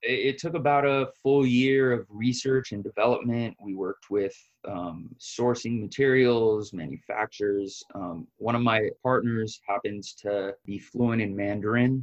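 A man with a plain, everyday voice speaks at a fairly slow pace and medium pitch, with ordinary pitch variation and hardly any pauses. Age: 30s. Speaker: business founder. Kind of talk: interview.

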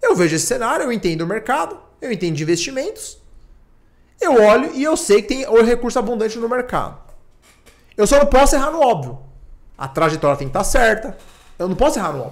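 A man talks at a very fast pace in an extremely high pitch, with very wide pitch swings. He leaves long, frequent pauses. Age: 30s. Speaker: tech entrepreneur. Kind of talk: casual chat.

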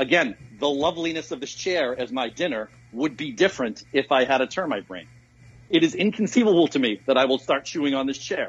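Here a man talks at a fairly quick pace with a fairly high pitch. He has a plain, everyday voice. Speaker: guest debater. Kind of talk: moral philosophy debate.

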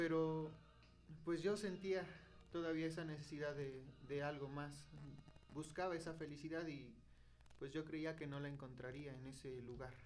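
A fairly high-pitched male voice at a moderate pace, with fairly even intonation, long, frequent pauses and audible room echo. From Mexico, Hidalgo. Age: young. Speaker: seminarian, podcast co-host. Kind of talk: testimony.

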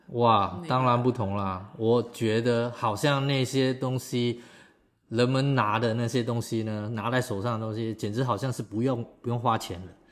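An unremarkable speaking voice from a man, at a medium pitch and moderate pace, with fairly even intonation. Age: 50s. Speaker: amateur marathon runner. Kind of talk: casual interview chat.

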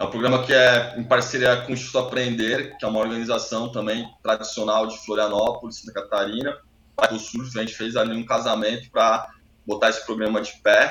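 This man speaks at a fairly quick pace with a bright, sharp tone and big swings in loudness. His intonation is monotone and flat. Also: medium pitch for a man. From Brazil, São Paulo coast (Itanhaém). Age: 40s. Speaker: environmental NGO founder, surfer. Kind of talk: interview.

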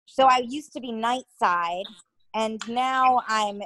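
In a New York accent, a woman speaks with a fairly high pitch. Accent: Northeastern US (New York area). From Connecticut, US Northeast. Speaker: TV news reporter. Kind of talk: casual interview.

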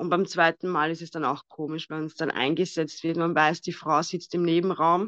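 A woman speaks in an Austrian accent at a fairly low pitch. The sound is dry and close with no echo, and the background is quiet. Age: 30s. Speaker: guest sharing infertility story. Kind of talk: personal testimony.

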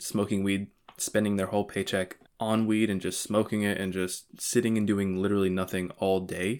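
A man with an American accent, fairly low in pitch, monotone and flat in intonation, fairly quick in pace, on a very clean recording with a silent background. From Florida, Vero Beach. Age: 20s. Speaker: podcast host. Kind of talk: personal storytelling monologue.

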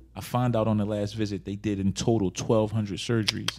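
Fairly low male voice, very fast and monotone, with noticeable background noise behind it. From Philadelphia. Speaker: rapper. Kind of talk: casual interview.

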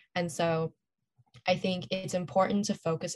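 A woman with an American accent speaks at a fairly low pitch. Her voice is somewhat breathy, and her pace is moderate. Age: young. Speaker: student activist. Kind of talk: casual interview.

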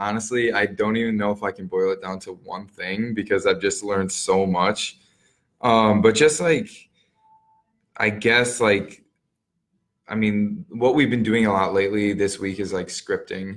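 Long, frequent pauses break up this man's speech. His pitch is fairly low and his intonation fairly even. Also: moderate pace. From Wisconsin, Milwaukee area. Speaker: new real estate agent and Army National Guard soldier. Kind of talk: interview.

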